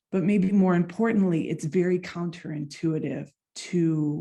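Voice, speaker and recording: In an American accent, a woman talks at a moderate pace with a fairly low pitch and a dark, mellow tone. Her voice is somewhat breathy with fairly even intonation, on a very clean recording with a silent background. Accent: American accent, noticeable to Finns. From United States. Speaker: clarinetist and doctoral researcher. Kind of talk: conference presentation.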